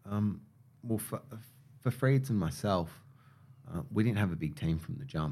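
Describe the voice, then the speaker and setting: In an Australian accent, a man with a fairly low pitch moves at a moderate pace through very wide pitch swings and long, frequent pauses. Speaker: hair care brand co-founder. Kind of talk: interview.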